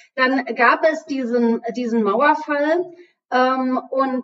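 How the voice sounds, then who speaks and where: A woman's high-pitched voice carries ordinary pitch variation. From Berlin, East Germany. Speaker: trade union official. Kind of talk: panel discussion. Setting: video call.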